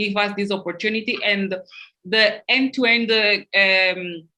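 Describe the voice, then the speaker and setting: This woman has a non-native accent. She speaks at a fairly slow pace. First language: not English. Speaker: panel moderator. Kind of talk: panel discussion. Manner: halting.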